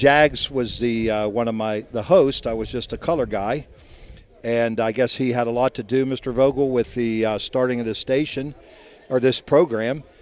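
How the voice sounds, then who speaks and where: Speaking at a moderate pace with fairly even intonation, a man with an American accent has a medium pitch. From Ohio Valley, eastern Ohio. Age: 60s. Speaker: doctor and sports radio co-host. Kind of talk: casual interview. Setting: bar event, live broadcast.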